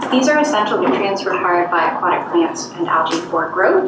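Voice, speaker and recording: Amid noticeable background noise and audible room echo, a woman talks at a fairly quick pace with very wide pitch swings. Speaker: environmental project coordinator. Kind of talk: presentation to council. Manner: soft-spoken.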